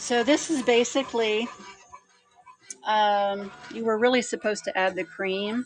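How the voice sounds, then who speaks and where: A woman's fairly high voice at a fairly slow pace, with ordinary pitch variation and noticeable background noise. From USA. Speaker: cooking livestream host. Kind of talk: live cooking stream chat. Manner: casual, hesitant with many fillers.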